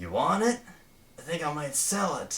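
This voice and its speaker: A man puts on a raspy character voice. His pitch is high and his pace moderate. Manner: pushy, selling.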